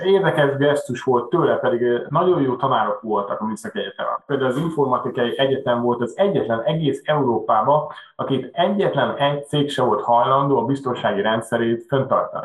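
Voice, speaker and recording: Fairly quick in pace, a man speaks at a fairly high pitch with ordinary pitch variation. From Hungary, Budapest. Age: 40s. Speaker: machine shop owner. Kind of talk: interview. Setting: video call.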